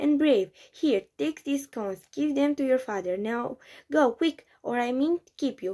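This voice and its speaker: A woman shouts in a gruff, put-on character voice. Her pitch is high and her pace fairly slow. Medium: read story. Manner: gruff, shouting.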